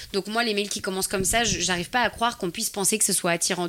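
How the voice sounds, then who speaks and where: In a bright, sharp tone, a woman speaks very fast at medium pitch, sounding animated, with ordinary pitch variation. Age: 20s. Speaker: fitness YouTuber. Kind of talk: interview.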